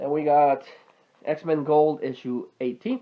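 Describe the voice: A man's fairly high voice at a slow pace, with fairly even intonation.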